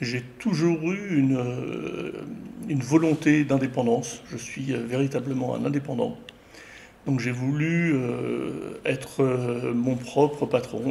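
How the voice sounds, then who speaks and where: A man talks at a very slow pace with a medium pitch and ordinary pitch variation, over noticeable background noise and audible room echo. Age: 60s. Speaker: retired graphic designer and filmmaker. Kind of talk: interview. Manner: hesitant, many fillers.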